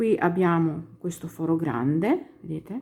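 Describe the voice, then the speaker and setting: The recording is very clean with a silent background. A woman speaks with a fairly low pitch in a somewhat breathy voice. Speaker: crochet teacher. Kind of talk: tutorial.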